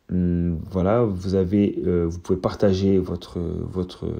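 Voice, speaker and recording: Very deep and low in pitch, a man speaks in a dark, mellow tone. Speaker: teacher. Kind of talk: tutorial. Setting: recorded on phone. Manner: stuttering; hesitant, many fillers.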